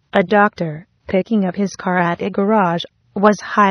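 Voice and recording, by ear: Over a quiet background, someone is reading aloud in a natural voice with fairly even intonation.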